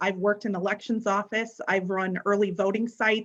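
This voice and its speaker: A woman with a US Midwestern accent speaks at a moderate pace and medium pitch, her intonation monotone and flat. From northern Illinois, Sycamore. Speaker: political candidate, county office clerk. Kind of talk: candidate forum statement.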